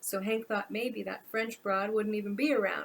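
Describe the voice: Plain reading aloud at a fairly even intonation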